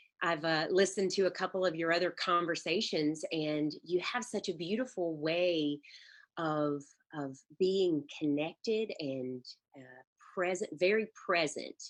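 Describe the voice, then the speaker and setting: Against a quiet background, a woman with a strong Southern US accent speaks at a fairly slow pace in a fairly low, warm voice, with ordinary pitch variation and big swings in loudness. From Mississippi, US South. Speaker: life coach and energy healer. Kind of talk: interview conversation. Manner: warm, hesitant with fillers.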